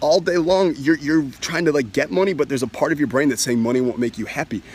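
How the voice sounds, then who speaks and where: This man's voice is fairly high and animated in tone. His intonation is lively. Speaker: self-help money coach. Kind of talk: sales pitch. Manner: fast.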